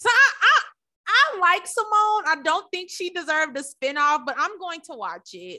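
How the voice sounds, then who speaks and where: A woman with an extremely high pitch speaks at a moderate pace in a raised, projected voice, her bright, sharp, animated tone carrying lively intonation and big swings in loudness. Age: 20s. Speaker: podcast co-host. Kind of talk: casual chat.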